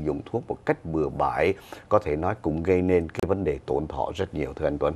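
A man is speaking with ordinary pitch variation. His pace is moderate. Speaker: TV show host. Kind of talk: news commentary. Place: studio. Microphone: lapel.

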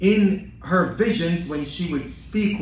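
Audible room echo surrounds this man as he speaks. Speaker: priest. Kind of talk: sermon. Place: church. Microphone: podium.

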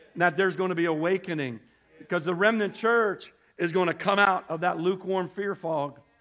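This man has a high pitch and an animated tone, with ordinary pitch variation. He talks at a fairly quick pace. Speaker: preacher. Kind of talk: sermon to a congregation, scripture reading with call-and-response. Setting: church with congregation. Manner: animated, fervent, exhorting; pauses for audience amens, repeats phrases for emphasis. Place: church.

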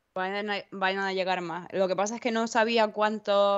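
With an Andalusian accent, a woman of medium pitch speaks at a moderate pace in a monotone, flat intonation. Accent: Almería Spanish. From Almería, Spain. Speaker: board game shop owner. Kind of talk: casual chat. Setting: video call.

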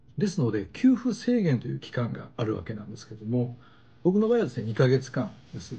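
A man with a dark, mellow, somewhat breathy tone speaks at a fairly quick pace, his pitch swinging very widely and his loudness rising and falling sharply. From Japan. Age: 50s. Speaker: YouTube channel host, career consultant. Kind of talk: tutorial. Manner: casual, explanatory. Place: home room.

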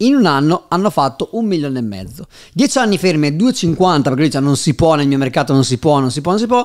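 A man talks very fast against a quiet background. His pitch swings very widely. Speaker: podcast host. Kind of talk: podcast interview. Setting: studio in Milan. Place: studio. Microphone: studio mic.

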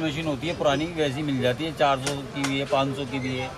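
Against clear background noise, a man talks fairly quickly at a medium pitch with fairly even intonation.

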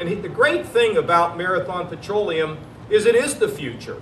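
Audible room echo surrounds a man's voice. Light background noise is present as well. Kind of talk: public speech. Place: street. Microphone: podium.

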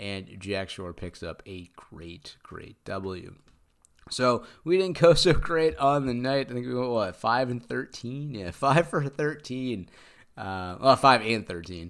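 A man speaks at a very slow pace with very wide pitch swings and big swings in loudness. The recording is very clean, with a silent background. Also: medium pitch for a man. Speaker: MMA podcast host. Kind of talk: solo fight-pick recap. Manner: casual with frequent fillers.

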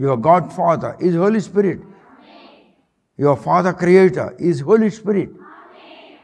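A man speaks with a high pitch. His loudness swings widely. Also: ordinary pitch variation. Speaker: preacher. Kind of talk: fiery sermon, preaching aloud in Telugu mixed with English verses. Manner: animated, emphatic, rhetorical; mimics voices and rattles off lists for emphasis. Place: stage. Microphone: lapel.

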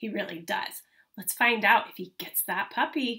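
Bright and sharp in tone with a slightly husky edge, a woman speaks at a medium pitch with ordinary pitch variation. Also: moderate pace.

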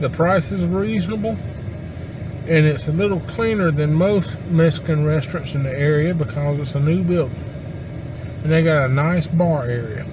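This man talks at a moderate pace, the sound dry with no echo but noticeable background noise present. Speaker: restaurant reviewer. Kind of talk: casual vlog chat. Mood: relaxed, positive. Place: car. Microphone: camera far.

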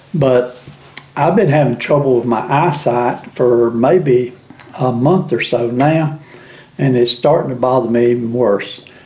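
A man with a Southern US accent at a fairly slow pace, with audible room echo. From US South. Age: 70s. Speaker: YouTube channel host. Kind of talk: casual chat. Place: kitchen.

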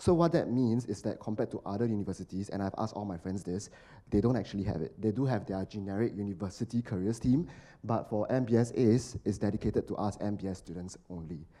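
At a very fast pace, a man with a fairly low pitch and a dark, mellow tone speaks with ordinary pitch variation. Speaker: marketing professional, recent alumnus; panelist. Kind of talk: panel discussion. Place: hall. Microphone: handheld.

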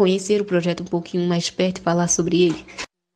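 A woman speaks at a fairly quick pace. Her voice is fairly low-pitched, with a dark, mellow tone. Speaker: chemistry student. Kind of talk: scripted presentation.

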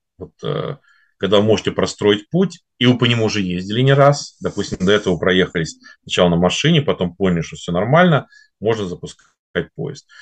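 With lively intonation and a fairly low pitch, a man talks at a fairly quick pace, broken by long, frequent pauses, against a quiet background. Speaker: finance and automation consultant; presenter. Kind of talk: webinar presentation. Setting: online webinar broadcast. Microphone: webcam.

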